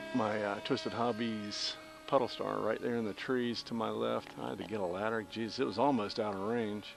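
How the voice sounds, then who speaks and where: Over music in the background, a man with an American accent talks at a fairly quick pace in a relaxed tone, his pitch fairly low with ordinary variation. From US South. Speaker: RC pilot and hobby vlogger. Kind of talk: casual chat while flying a model plane. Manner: rambling, relaxed.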